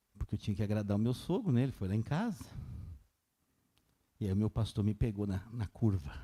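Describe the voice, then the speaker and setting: A man speaks at a fairly quick pace, with long, frequent pauses. His voice is fairly low, somewhat breathy and dark and mellow in tone, with ordinary pitch variation. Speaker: pastor. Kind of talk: sermon. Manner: fast.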